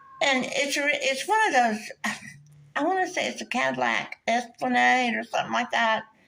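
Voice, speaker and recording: The speech moves at a moderate pace, with noticeable background noise throughout. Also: woman. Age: 60s. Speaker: vlogger telling personal story. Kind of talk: casual storytelling monologue.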